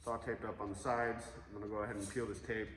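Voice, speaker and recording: His words come out at a very fast pace. Noticeable background noise and audible room echo are present, and the speaker is a man. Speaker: guitar builder. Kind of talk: tutorial. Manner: casual with many fillers.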